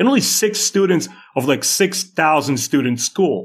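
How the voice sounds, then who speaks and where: A man with a Russian accent and lively intonation. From Moldova (Soviet Union), Russian-speaking. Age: 40s. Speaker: YouTube creator and animator. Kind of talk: casual interview chat. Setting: remote call. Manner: halting.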